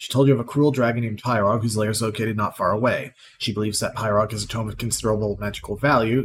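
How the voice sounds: Natural reading-aloud delivery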